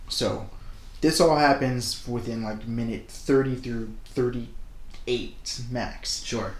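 The room echo is clearly audible around a man with an American accent. He speaks at a very slow pace. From United States. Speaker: podcast co-host, aspiring screenwriter. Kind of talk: casual chat.

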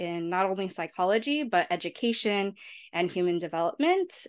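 Against a quiet background, a woman with an American accent speaks at medium pitch and a moderate pace. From San Diego, California (South Bay). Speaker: postdoctoral researcher. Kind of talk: interview.

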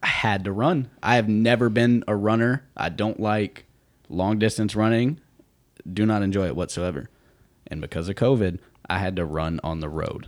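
This is a plain, everyday voice with an American accent, at a moderate pace and ordinary pitch variation. The recording is very clean, with a silent background. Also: man, fairly low pitch for a man. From United States. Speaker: professional soccer player. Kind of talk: casual chat. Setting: studio.

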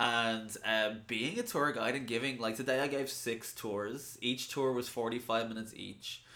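A man with an Irish accent speaks at a medium pitch and a fairly slow pace in a bright, sharp tone, with fairly even intonation and hardly any pauses. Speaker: podcast co-host. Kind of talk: casual chat. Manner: tired.

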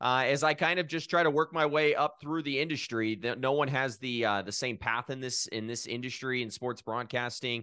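Over a quiet background, a man talks at a fairly quick pace with hardly any pauses. His medium-pitched voice has a bright, sharp tone and ordinary pitch variation. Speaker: sports broadcaster. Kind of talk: casual interview.

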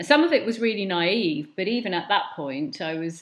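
In a London accent, a woman speaks at a moderate pace. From West London (Hounslow). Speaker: curator and art educator. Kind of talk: casual interview conversation.

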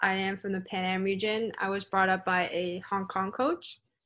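A woman speaks in a normal speaking voice at a medium pitch and moderate pace. The recording is very clean with a silent background. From Canada. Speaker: badminton player. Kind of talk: interview.

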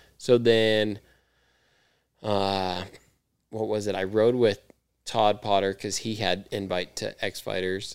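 An American-accented man speaks at a very slow pace with flat, monotone intonation and long, frequent pauses. The recording is very clean, with a silent background. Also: fairly low pitch for a man. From California, grew up near L.A. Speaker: freestyle motocross rider. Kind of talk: casual chat.

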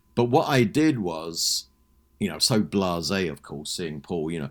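In a London accent, a man speaks at a moderate pace with very wide pitch swings, in a very clean recording over a silent background. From London, England. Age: 60s. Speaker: music author and podcaster. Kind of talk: casual interview.

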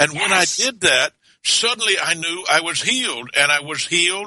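Here is a man with a Southern US accent. He talks at a moderate pace with lively intonation. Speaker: minister. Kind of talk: casual chat; reading aloud. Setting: studio. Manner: animated.

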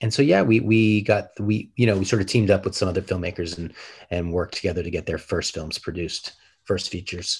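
This man speaks at a fairly quick pace in a very deep, low voice that is somewhat breathy, with fairly even intonation. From Denver, Colorado. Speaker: film director. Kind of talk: interview.

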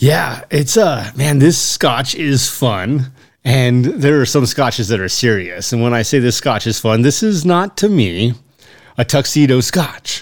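A man speaks at a medium pitch and a fairly slow pace, in a plain, everyday voice. The recording is very clean, with a silent background. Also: lively intonation. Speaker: podcast co-host. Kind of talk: casual chat.

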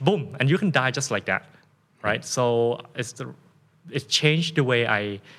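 A man with a Thai accent talks at a fairly slow pace, leaving long, frequent pauses. His pitch is medium, with ordinary variation. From Thailand. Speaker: fitness coach and influencer. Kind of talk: casual interview conversation.

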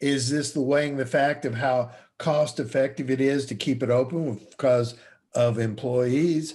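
In a plain, everyday voice, a man talks at a moderate pace with fairly even intonation. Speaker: podcast host. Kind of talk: casual interview chat.

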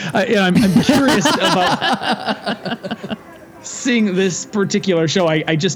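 A man's high voice carries lively intonation through noticeable background noise. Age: 40s. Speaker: podcast host. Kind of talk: casual chat.

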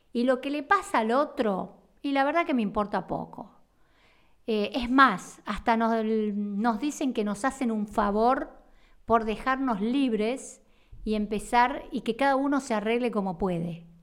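In a very clean recording with a silent background, a woman speaks at a fairly slow pace. Her pitch is fairly high, with ordinary variation. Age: 50s. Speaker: therapist and podcast host. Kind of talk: monologue podcast. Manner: halting.

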